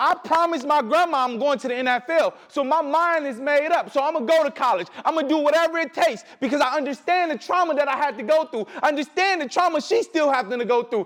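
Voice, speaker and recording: Amid noticeable background noise, a man speaks very fast at an extremely high pitch, with hardly any pauses. His tone is animated, and his pitch variation is ordinary. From Detroit, Michigan. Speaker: motivational speaker. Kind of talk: keynote speech. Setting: stage with audience.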